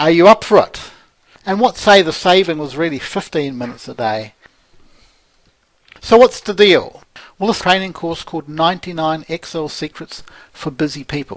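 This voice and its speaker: A man with a New Zealand accent speaks at a high pitch with lively intonation, big swings in loudness, and long, frequent pauses. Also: moderate pace. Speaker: Excel trainer and financial controller. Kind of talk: sales pitch.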